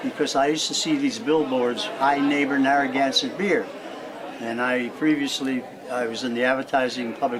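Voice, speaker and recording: A man speaks at a moderate pace with a medium pitch. Noticeable background noise and audible room echo fill the recording. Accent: American. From Springfield, Massachusetts. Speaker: elderly interviewee, retired cartoonist. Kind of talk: oral history interview.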